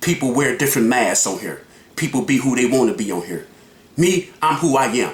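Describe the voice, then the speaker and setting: Loud and animated, a man speaks at a moderate pace and a fairly high pitch, his intonation lively. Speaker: YouTube reaction vlogger. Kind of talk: reaction commentary.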